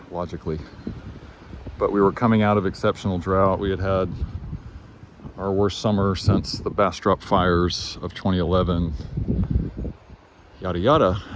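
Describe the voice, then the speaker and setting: Long, frequent pauses break up speech at a moderate pace with fairly even intonation. Noticeable background noise runs underneath. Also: man, very deep, low pitch for a man. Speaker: gardener and environmental video blogger. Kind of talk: casual outdoor video report. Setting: outdoors. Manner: halting, with many fillers.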